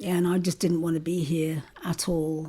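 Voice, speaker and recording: At a fairly slow pace, a woman speaks in a dark, mellow tone at a fairly low pitch. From South London, born in Jamaica. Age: 60s. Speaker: interviewee. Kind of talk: oral history interview. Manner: hesitant, with many fillers.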